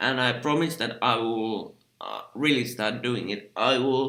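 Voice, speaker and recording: With a Finnish accent and a bright, sharp tone, a man talks at a fairly slow pace and medium pitch with ordinary pitch variation. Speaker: film critic. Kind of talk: casual vlog commentary. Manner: halting, many fillers; unscripted.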